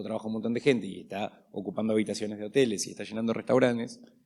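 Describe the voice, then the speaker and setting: A man with an Argentine accent, fairly low-pitched, talking at a very fast pace in a monotone, flat delivery. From Argentina. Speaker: panel moderator. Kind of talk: panel discussion.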